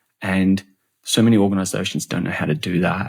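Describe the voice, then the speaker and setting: A man's very deep, low voice with an Australian accent, at a fairly quick pace. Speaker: customer and employee experience expert. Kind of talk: podcast interview. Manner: animated; halting, many repeated words.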